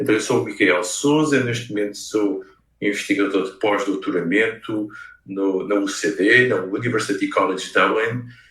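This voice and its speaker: A man speaks at a moderate pace with a European Portuguese accent, his pitch fairly low and its variation ordinary. Audible echo from the room surrounds his voice. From Portugal (Leiria). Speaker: researcher and game designer. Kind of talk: lecture. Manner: hesitant, many fillers.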